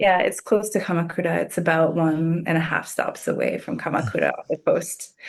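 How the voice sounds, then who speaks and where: A woman with an American accent, animated in tone, at a fairly quick pace with hardly any pauses. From US South, Atlanta, Georgia. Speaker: leadership coach. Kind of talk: casual interview chat. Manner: animated, many fillers.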